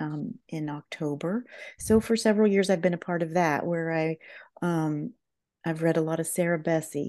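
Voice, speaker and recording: With an American accent, a woman talks in a fairly low pitch and a dark, mellow tone, showing ordinary pitch variation against a quiet background. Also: moderate pace. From southern Ohio. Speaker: professional counselor. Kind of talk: interview conversation.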